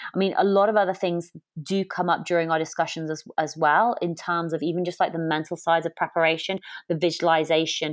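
A woman speaks with an English accent at a moderate pace, her intonation flat and monotone. The recording is very clean, with a silent background. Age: 30s. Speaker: podcast host and adventurer. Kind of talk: casual chat.

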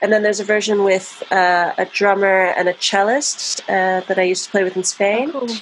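This woman has an unremarkable speaking voice with an American accent and a medium pitch. She talks at a fairly quick pace with hardly any pauses and ordinary pitch variation. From US, New Jersey. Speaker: avant-garde vocalist and composer. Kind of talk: casual chat.

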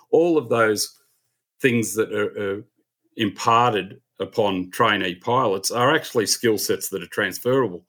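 Very clean recording, silent background, and a man with an Australian accent. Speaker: airline captain and aviation writer. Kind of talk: podcast interview.

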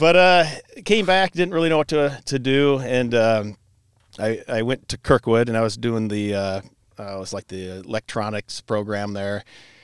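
A man with a Midwestern American accent speaks at a moderate pace in a medium pitch with lively intonation, on a very clean recording with a silent background and a dry, close sound with no echo. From Iowa, Cedar Rapids area. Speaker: brewery owner and brewmaster. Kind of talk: casual chat.

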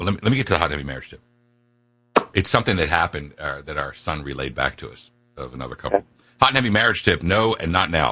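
With an American accent and vocal fry, a man speaks at a very fast pace in a very deep, low pitch that swings very widely, his tone bright and sharp. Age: 50s. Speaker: talk radio host. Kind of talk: radio talk show chat. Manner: animated.

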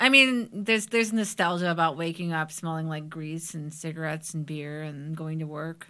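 With a Cleveland accent, the speaker uses a bright, sharp tone and ordinary pitch variation at a moderate pace with hardly any pauses. Loudness swings widely on a very clean recording with a silent background. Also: woman, fairly low pitch for a woman. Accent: Midwestern American (Cleveland). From Parma, Ohio (Cleveland area). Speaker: psychic medium and former coworker. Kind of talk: casual chat.

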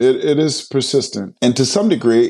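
A man speaks at a moderate pace. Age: 50s. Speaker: marriage and family therapist, author. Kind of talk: interview conversation.

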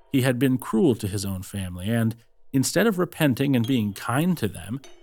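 A man delivers his words at a moderate pace in a normal speaking voice. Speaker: audiobook narrator. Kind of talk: scripted fairy-tale narration, read aloud from a book. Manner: storyteller's measured, flowing delivery, old-fashioned and formal.

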